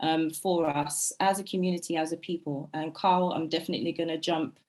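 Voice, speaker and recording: The voice belongs to a woman and sits fairly low in pitch. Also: very clean recording, silent background. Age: 20s. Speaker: finance workshop presenter. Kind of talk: workshop presentation. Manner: fast; frequent hesitations.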